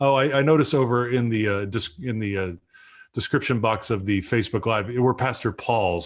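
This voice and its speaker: The speaker is a man. He talks at a moderate pace. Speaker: pastor and livestream show host. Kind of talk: casual chat. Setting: livestream video call. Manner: loud.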